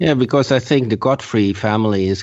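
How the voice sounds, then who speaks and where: Ordinary pitch variation in a man's voice at a medium pitch. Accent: Dutch. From Netherlands. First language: Dutch. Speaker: podcast listener and patron. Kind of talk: casual chat. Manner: halting.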